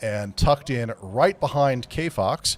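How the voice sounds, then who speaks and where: The recording is very clean and the background silent. His pitch variation is ordinary, and the speaker is a man. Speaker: sim racing broadcast commentator. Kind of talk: live commentary. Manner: loud.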